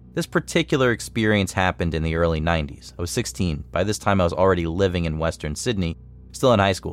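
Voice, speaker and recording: Music plays in the background as a man with a very deep, low voice speaks at a fairly quick pace with lively intonation. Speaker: story narrator. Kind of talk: ghost story telling, hushed, spooky narration. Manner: tense, suspenseful, building dread.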